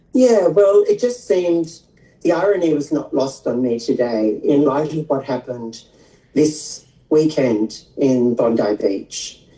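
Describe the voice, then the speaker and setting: A woman with an Australian accent, her pitch very deep and low, with very wide swings in pitch. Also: fairly slow pace. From Australia, Sydney eastern suburbs. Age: 60s. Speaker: skin therapist and transgender activist. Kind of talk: interview. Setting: livestream video interview.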